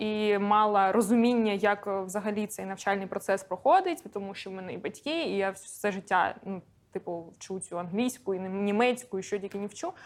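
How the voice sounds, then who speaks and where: Her pitch medium and its variation ordinary, a woman is talking. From Donetsk, eastern Ukraine. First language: Russian (speaking Ukrainian). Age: 30s. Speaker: esports reporter and analyst. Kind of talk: interview. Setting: bar.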